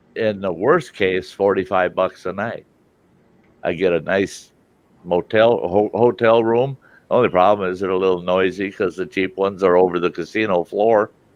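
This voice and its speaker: A man talks at a moderate pace with a Midwestern accent. His pitch is very deep and low, and his intonation fairly even. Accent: American Midwest. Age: 60s. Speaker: live stream host. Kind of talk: casual chat.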